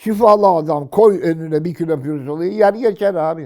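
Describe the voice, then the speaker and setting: A man speaks at a high pitch and a moderate pace, with a dark, mellow tone and ordinary pitch variation. The recording is very clean, with a silent background. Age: 80s+. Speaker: retiree commentator. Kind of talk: casual chat. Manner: animated.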